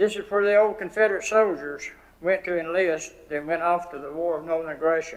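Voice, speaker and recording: With a western North Carolina accent, a man speaks at a fairly quick pace in a high pitch with ordinary pitch variation. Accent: Southern US, western North Carolina. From US South. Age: 80s+. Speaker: public commenter. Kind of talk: public comment speech.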